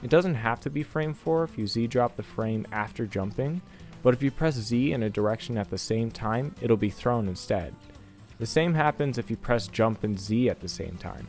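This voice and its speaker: Music plays in the background as a man at medium pitch speaks with lively intonation. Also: moderate pace. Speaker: video game content creator. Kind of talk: game tutorial narration.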